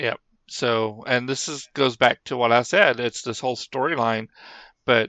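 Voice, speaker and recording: A man with a normal speaking voice talks at a fairly slow pace, medium pitch and fairly even intonation. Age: 50s. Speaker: podcast co-host. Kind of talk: casual chat.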